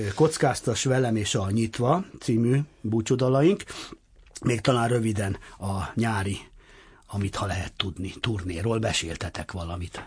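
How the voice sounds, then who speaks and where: Against a quiet background, a somewhat breathy voice proceeds at a fairly slow pace. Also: man. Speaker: radio host. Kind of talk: interview. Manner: animated.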